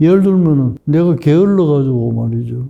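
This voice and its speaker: With a dark, mellow tone and ordinary pitch variation, a man speaks at a fairly high pitch. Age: 80s+. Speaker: psychiatrist. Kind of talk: interview answer.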